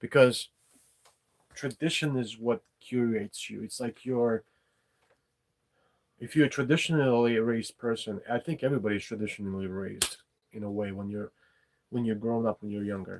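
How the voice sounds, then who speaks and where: A man with a non-native accent at medium pitch, ordinary pitch variation, moderate pace, long and frequent pauses, and a dry, close sound with no echo. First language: not English. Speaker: podcast host, writer and poet. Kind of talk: casual monologue livestream. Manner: halting, many fillers.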